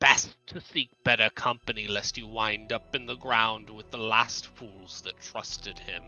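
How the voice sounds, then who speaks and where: Over background music, a man does a raspy put-on character voice at a medium pitch and moderate pace, with hardly any pauses. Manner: scowling, ominous.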